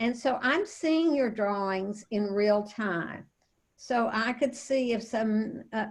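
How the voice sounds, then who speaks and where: A woman with a fairly high pitch and a somewhat breathy voice speaks at a very slow pace. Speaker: teacher trainer. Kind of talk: online training webinar. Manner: halting, many fillers.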